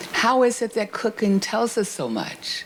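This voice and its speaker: A woman talks in an animated tone over noticeable background noise. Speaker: discussant at a university book event. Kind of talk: panel discussion.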